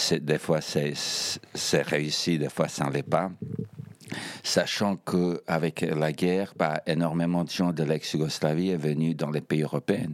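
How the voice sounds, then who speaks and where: A man with a former Yugoslav accent speaks at a very slow pace. His pitch is very deep and low, with fairly even intonation. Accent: ex-Yugoslav accent in French. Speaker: Eurovision fan guest. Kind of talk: casual chat.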